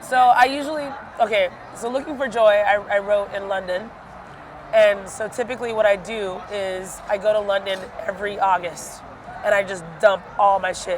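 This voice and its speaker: Noticeable background noise accompanies a woman speaking at medium pitch and a moderate pace. Her tone is animated, with ordinary pitch variation. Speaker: singer and house music artist. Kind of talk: casual interview. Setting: music festival. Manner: animated, filler-heavy.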